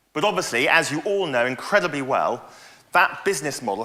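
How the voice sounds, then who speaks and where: With noticeable background noise behind him, a man speaks with lively intonation. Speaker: industry consultant. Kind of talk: conference presentation. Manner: fast.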